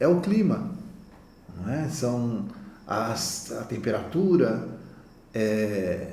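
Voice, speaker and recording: With audible room echo, a man speaks at a medium pitch and makes very wide pitch swings. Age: 60s. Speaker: naturopath. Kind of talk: conference talk.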